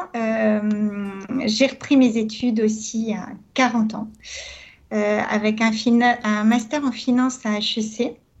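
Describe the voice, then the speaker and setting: A woman's fairly high, somewhat breathy voice, very slow and flat in a monotone, with long, frequent pauses. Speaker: entrepreneur and consultant. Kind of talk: radio interview.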